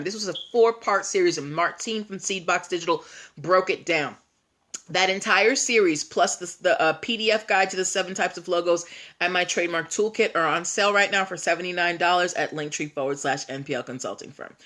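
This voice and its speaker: A woman speaks at a fairly quick pace in a put-on character voice, raspy and at a medium pitch. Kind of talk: promotional, pitching a product on sale. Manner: salesy, hyped-up infomercial pitch.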